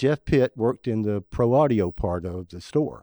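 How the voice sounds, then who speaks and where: A man with a Southern US accent speaks at a medium pitch and moderate pace, with a dark, mellow tone and very wide pitch swings. The sound is dry and close with no echo, against a quiet background. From West Tennessee. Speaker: saxophone player. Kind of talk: casual chat.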